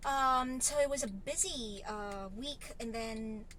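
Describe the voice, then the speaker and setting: A woman speaks at a fairly high pitch in a bright, sharp tone, with audible room echo around her. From Philippines, Lipa City, Batangas. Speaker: vlogger and online English tutor. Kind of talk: casual vlog.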